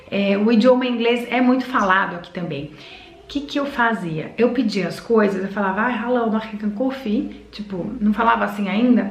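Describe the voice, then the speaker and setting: The speech moves at a moderate pace with ordinary pitch variation, and the recording carries audible room echo and noticeable background noise. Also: woman, fairly high pitch for a woman. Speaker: vlogger. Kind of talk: casual vlog talk.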